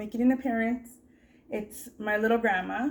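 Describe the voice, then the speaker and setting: Ordinary pitch variation runs through a normal speaking voice delivered at a moderate pace. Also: woman. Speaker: crochet YouTuber. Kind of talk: casual interview questions to camera.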